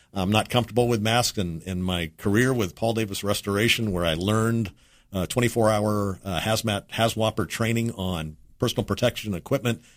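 A man with an American accent speaks in a normal speaking voice, fairly low in pitch, at a fairly quick pace. His intonation is fairly even, and the recording is very clean with a silent background. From Texas. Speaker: restaurant owner. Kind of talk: interview. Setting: studio.

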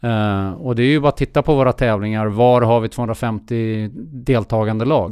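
A man of medium pitch talks at a moderate pace with fairly even intonation in an unremarkable speaking voice. The recording is very clean, with a silent background. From Sweden, raised partly abroad (Finland, Australia, Geneva). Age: 50s. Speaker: endurance sports entrepreneur. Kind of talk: interview.

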